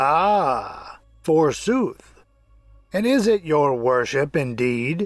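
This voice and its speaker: A put-on character voice cackles at a very slow pace while faint music plays in the background. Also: man, fairly high pitch for a man. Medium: read story. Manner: archaic, gossipy.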